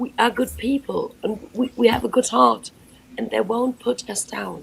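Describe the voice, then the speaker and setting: Speaking at a fairly slow pace, a woman has a German accent. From Germany. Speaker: former Jehovah's Witness. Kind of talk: live panel discussion.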